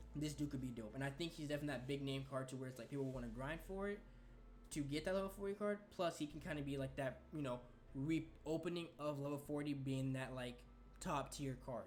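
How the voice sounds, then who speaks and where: A man's somewhat breathy, fairly high voice at a fairly quick pace, ordinary pitch variation, audible room echo. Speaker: gaming youtuber. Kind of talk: casual video commentary. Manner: stuttering today.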